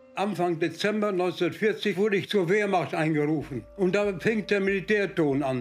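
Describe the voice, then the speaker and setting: Faint music plays behind a high-pitched man who talks at a moderate pace with hardly any pauses, very even loudness, and ordinary pitch variation. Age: 80s+. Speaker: master baker; war veteran. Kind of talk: interview answer. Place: kitchen.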